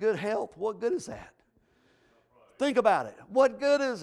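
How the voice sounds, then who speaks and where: A man speaks with ordinary pitch variation. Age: 50s. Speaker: pastor. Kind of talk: sermon.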